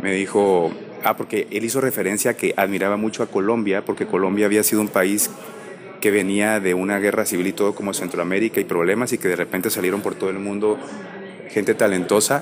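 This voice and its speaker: A man speaks at a fairly quick pace in a fairly low, flat monotone. Noticeable background noise runs behind him. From Guatemala. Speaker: actor. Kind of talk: interview conversation.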